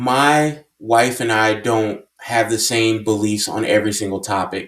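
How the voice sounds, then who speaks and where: A man's voice with ordinary pitch variation, on a very clean recording with a silent background. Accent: American. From US South. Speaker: vlogger and wedding officiant. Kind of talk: casual commentary monologue. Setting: at home, early morning.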